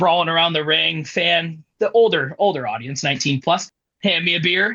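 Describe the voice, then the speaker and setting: A man speaks at a moderate pace with a high pitch and lively intonation. His tone is bright and sharp, and the sound is dry and close with no echo. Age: 20s. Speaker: professional wrestler. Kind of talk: interview.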